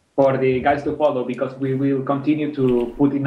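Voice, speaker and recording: A man's medium-pitched voice with a strong non-native accent, monotone and flat, at a fairly slow pace, with audible room echo. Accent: strong foreign. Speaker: game map maker. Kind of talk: casual panel discussion.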